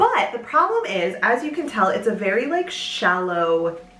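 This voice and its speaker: With noticeable background noise behind her, a woman speaks at a fairly slow pace in a fairly high pitch that swings very widely. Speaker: home sewist. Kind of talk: casual talk to camera.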